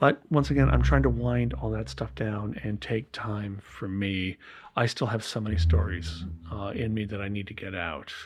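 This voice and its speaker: A man with a very deep, low pitch, somewhat breathy, at a moderate pace with very wide pitch swings. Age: 60s. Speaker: filmmaker and sound designer. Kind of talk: interview. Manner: halting, many fillers.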